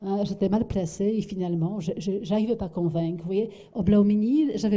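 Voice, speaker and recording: This woman's voice has a dark, mellow tone, sounds somewhat breathy, and moves through ordinary pitch variation. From Poland. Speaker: architect. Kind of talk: lecture. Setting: lecture hall with audience. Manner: halting, many fillers and repetitions.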